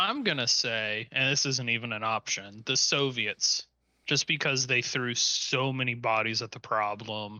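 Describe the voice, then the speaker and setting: This man talks fairly slowly at a medium pitch, with fairly even intonation. It is an unremarkable speaking voice. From Cincinnati, Ohio. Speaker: podcast co-host. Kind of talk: casual chat.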